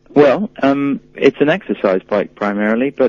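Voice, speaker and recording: Behind the man there is noticeable background noise. His pitch variation is ordinary. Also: dry, close sound with no echo. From England. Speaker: company spokesperson. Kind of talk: interview. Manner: hesitant, many um fillers.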